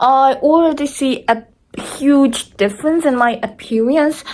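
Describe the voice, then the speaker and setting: Speaking fairly slowly with a non-native accent, a woman keeps her intonation fairly even. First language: not English. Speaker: vlogger sharing surgery recovery. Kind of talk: casual vlog, personal experience. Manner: halting, many restarts.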